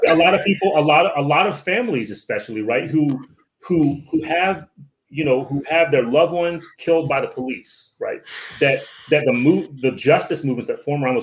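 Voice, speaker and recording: A man with a normal speaking voice and an American accent talks at a moderate pace, his fairly high pitch carried by lively intonation. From Northern Virginia (DC area), Filipino community. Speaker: professor and author. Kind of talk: casual interview.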